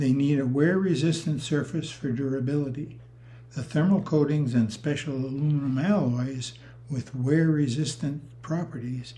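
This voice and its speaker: The voice is somewhat breathy, with a dark, mellow tone and a fairly slow pace. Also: man. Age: 80s+. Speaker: retired rotary engine engineer. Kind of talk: technical presentation.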